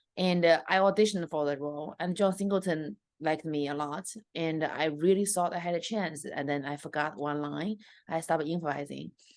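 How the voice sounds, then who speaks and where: A woman with a Chinese accent talks at a fairly quick pace in a very deep, low pitch, with ordinary pitch variation. The background is quiet. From China. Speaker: stand-up comedian. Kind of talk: interview.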